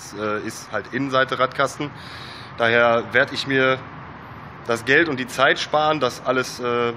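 A man speaks with ordinary pitch variation. Light background noise can be heard. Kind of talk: casual DIY tutorial vlog. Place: garage. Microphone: phone near.

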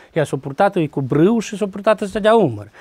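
Over a quiet background, a man talks with lively intonation in a dry recording with no echo. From Romanian community in Transcarpathia, Ukraine (Rakhiv area); Transcarpathia, Ukraine. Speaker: carpenter and folk fiddler, home museum keeper; interviewee. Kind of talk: interview. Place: home room.

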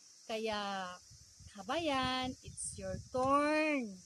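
Very slowly, a woman speaks in a high pitch. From Davao, Mindanao, Philippines. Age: 40s. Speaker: vlogger and digital marketing seller. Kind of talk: personal testimony vlog.

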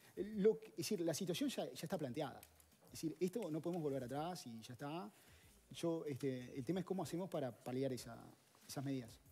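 With a dark, mellow tone, a man speaks at a fairly quick pace, his intonation lively and his loudness swinging widely. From Uruguay. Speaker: economist; guest. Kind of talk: interview; interview answer. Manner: hesitant, many fillers. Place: studio. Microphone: headset.

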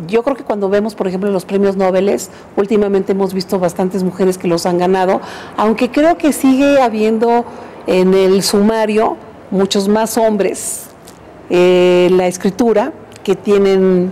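Against light background noise, a woman speaks at a fairly slow pace with ordinary pitch variation. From Mexico, Parral, Chihuahua. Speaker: museum director. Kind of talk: interview. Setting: museum director's workplace. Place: home room.

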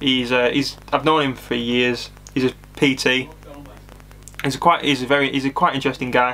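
A man speaks at a moderate pace and medium pitch, his bright, sharp tone showing little pitch movement.

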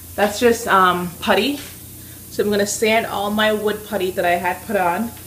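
A woman speaks at a fairly slow pace in a flat monotone. Light background noise can be heard. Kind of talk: casual vlog tutorial. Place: kitchen. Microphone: phone near.

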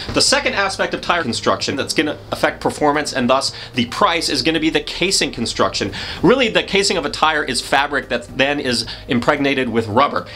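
Light background noise sits behind a man speaking at a fairly quick pace. His intonation is lively. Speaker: presenter. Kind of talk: tutorial. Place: studio.

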